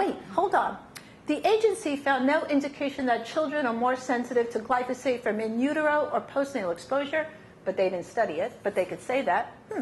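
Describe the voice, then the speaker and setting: Speaking fast-ish in a New York accent, a woman uses an animated tone, a high pitch and very wide pitch swings, with audible room echo. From New York City. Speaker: science advocacy presenter. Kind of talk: lecture.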